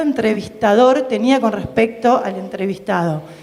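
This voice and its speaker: A woman at a fairly high pitch, with lively intonation, a fairly slow pace and noticeable background noise. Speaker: psychoanalyst, audience member asking a question. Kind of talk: audience question at public talk. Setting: public event with audience.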